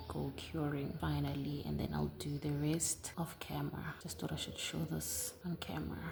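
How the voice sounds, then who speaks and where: The speech moves at a moderate pace. Background noise can be clearly heard. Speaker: nail art YouTuber. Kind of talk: tutorial. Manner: low-energy, subdued.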